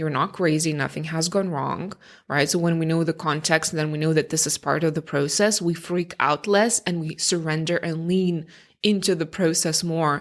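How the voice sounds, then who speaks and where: Fairly even intonation and a non-native accent come through in a very clean recording with a silent background. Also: woman, fairly low pitch for a woman, moderate pace. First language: not English. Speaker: career change coach, podcast host. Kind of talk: podcast monologue. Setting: home recording, early morning. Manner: casual, conversational.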